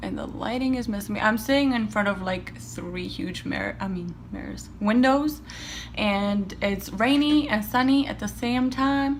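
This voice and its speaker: Noticeable background noise plus audible echo from the room. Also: woman. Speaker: beauty vlogger. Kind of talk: makeup tutorial chat. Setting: home, seated by windows. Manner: soft-spoken, near whisper.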